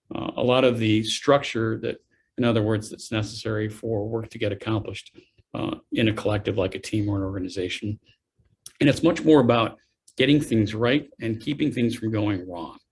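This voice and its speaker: A man with a medium pitch talks at a fairly quick pace, his voice somewhat breathy. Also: ordinary pitch variation. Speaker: business school dean giving a career talk. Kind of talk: lecture. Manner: fast; halting, many filler uhs.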